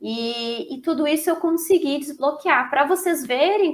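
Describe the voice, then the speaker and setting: Speaking at a fairly slow pace, a woman has a high pitch, lively intonation and an energetic tone. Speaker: therapist and course instructor. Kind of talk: lecture. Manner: talkative, energetic.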